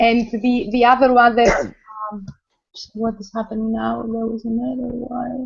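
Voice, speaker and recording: A woman speaks with a fairly high pitch and monotone, flat intonation. Long, frequent pauses break her speech, and her loudness swings widely. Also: moderate pace. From Greece. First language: Greek. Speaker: choreographer and academic. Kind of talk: casual video call chat. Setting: video call. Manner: halting.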